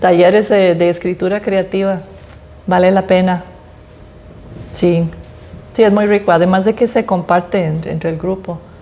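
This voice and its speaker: Noticeable background noise sits behind a woman talking at a moderate pace and medium pitch. Her intonation is monotone and flat, broken by long, frequent pauses. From United States. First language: English (speaking Spanish). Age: old. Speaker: author. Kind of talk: interview at book presentation. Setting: library event with audience.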